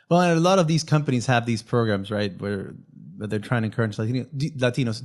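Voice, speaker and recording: A man speaks with a Spanish accent and ordinary pitch variation. The background is quiet. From Venezuela. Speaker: podcast host. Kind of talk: casual interview chat.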